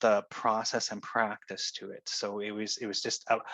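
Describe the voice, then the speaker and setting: Delivery is at a moderate pace in a bright, sharp tone. The sound is dry and close, with no echo. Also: man. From Canada, Cree. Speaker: minister. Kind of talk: interview answer. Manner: hesitant, repeats words.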